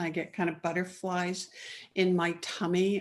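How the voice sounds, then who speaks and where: The speaker has a Canadian accent and talks at a very slow pace. The background is quiet. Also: woman. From Canada (Ottawa). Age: 60s. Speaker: entrepreneur and author. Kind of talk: interview.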